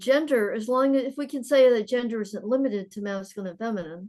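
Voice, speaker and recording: The woman's voice is fairly high in pitch. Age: old. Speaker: retired psychotherapist. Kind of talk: Q&A discussion after lecture.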